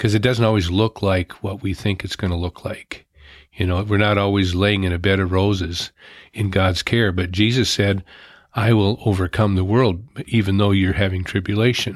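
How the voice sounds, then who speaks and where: Against a silent background in a very clean recording, a man with a normal speaking voice and fairly low pitch talks at a moderate pace with fairly even intonation. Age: 60s. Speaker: retired volunteer on mission service projects. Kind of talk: interview.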